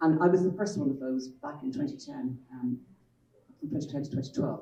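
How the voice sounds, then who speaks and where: A woman speaks in a Dublin accent with a very deep, low pitch and ordinary pitch variation. There is audible room echo. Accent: Irish (Dublin). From Ireland, Dublin. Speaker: children's author and publisher. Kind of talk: panel talk.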